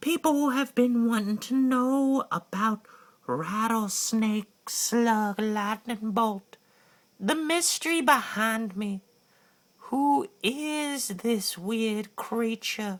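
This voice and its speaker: A female-sounding put-on character voice has a fairly high pitch. It moves at a very slow pace. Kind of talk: comic monologue. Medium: solo performance. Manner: rambling, comic, excitable.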